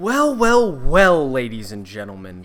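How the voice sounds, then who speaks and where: Lively intonation at a moderate pace, with audible room echo and music in the background. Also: man. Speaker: gaming YouTuber. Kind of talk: tutorial.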